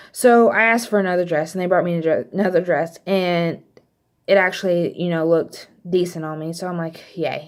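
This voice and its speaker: A voice with an American accent and ordinary pitch variation comes through a very clean recording with a silent background. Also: woman. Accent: slight Texas accent, stronger when mad. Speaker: vlogger. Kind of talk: casual storytelling vlog. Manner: casual, many fillers.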